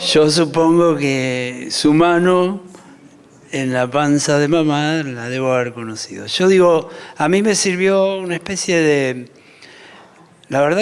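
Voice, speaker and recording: Through noticeable background noise, a man with a fairly high pitch talks very slowly, his pitch varying in an ordinary way. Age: 60s. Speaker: architect. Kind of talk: panel talk.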